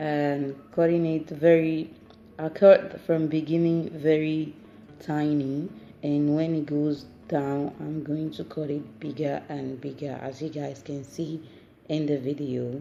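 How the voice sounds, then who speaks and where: A woman's very deep, low voice in a non-native accent, monotone and flat, with music in the background. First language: not English. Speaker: home cooking vlogger. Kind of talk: cooking tutorial. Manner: casual, some hesitation.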